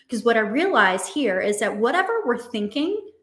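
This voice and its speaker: Pitch swings very widely, and the room echo is audible. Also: woman. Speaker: dating and relationship coach. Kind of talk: online summit talk with exercise. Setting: virtual conference. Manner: fast.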